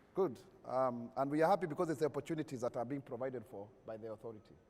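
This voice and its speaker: A very fast-talking man at a medium pitch with lively intonation, crowd noise in the background. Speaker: government spokesperson show host. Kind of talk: public forum moderation. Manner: animated.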